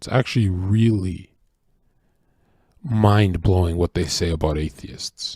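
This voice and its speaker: With long, frequent pauses, a man talks in an animated tone, his somewhat breathy voice pitched very deep and low. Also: ordinary pitch variation, fairly slow pace. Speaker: streamer. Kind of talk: casual livestream rant.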